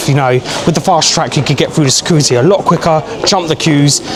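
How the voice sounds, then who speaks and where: A fairly high male voice with ordinary pitch variation over noticeable background noise. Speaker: travel vlogger. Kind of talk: travel vlog. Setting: airport lounge.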